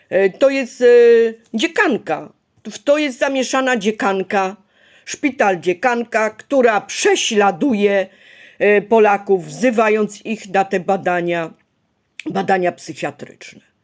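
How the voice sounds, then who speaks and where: On a very clean recording with a silent background, the speaker talks at a very slow pace with lively intonation. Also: woman, medium pitch for a woman. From Poland, Ostrów Wielkopolski (Greater Poland). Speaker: video blogger. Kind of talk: personal vlog monologue. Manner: agitated.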